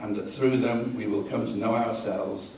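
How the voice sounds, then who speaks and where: In an English accent, the speaker goes at a moderate pace, with audible room echo and noticeable background noise. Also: man. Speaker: astrologer. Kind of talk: reading aloud.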